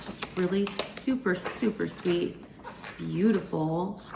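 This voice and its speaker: Noticeable background noise runs under a woman who is soft-spoken. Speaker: lifestyle vlogger. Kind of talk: casual vlog talk to camera. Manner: chatty, filler-heavy. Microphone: may be too quiet.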